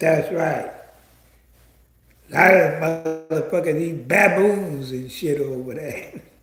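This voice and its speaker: In a room with audible echo, a man with a fairly high pitch and ordinary pitch variation talks very slowly, leaving long, frequent pauses. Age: 70s. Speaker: online commentator. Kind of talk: livestream commentary rant. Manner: animated.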